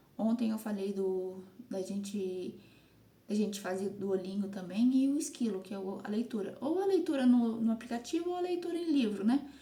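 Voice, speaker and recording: Against noticeable background noise, a woman speaks in a fairly high voice with lively intonation. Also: moderate pace. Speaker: content creator / vlogger. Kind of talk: casual vlog monologue. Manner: halting.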